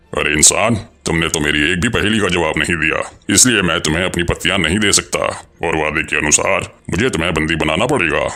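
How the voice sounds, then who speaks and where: In a cartoonish character voice, a man with a very deep, low pitch talks at a moderate pace. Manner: teasing, grandiose.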